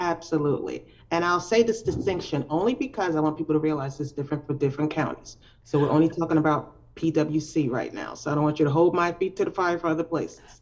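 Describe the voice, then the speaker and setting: A woman with a New York accent, very deep, low pitch, ordinary pitch variation and a very fast pace. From New York (Brooklyn, Long Island). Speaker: poet. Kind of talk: interview. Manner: loud.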